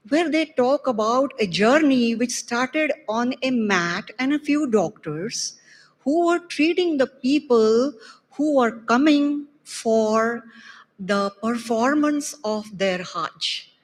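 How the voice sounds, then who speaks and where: A woman speaks at a very slow pace. Her pitch is high and her intonation lively. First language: not Arabic. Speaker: doctor attending conference. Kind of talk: audience testimony of gratitude.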